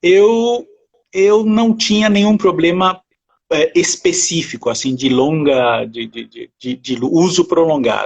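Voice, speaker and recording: A man speaks at a high pitch and a very slow pace. His pitch swings very widely and his loudness rises and falls sharply. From France. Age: 50s. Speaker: essential oils user, interview guest. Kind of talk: casual interview chat. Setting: online live stream. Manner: halting, repeats words.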